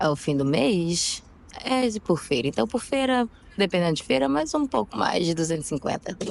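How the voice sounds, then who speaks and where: A woman with a fairly low pitch talks at a moderate pace, her pitch swinging very widely while her loudness stays very even. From Brazil, Rio de Janeiro. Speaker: market food vendor. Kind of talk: street interview. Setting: outdoors on the street.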